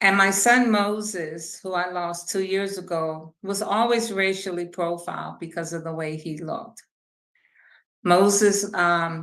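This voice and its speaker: The woman speaks at a fairly slow pace in a medium pitch. Her pitch varies in an ordinary way. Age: 60s. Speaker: police oversight commissioner. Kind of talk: interview.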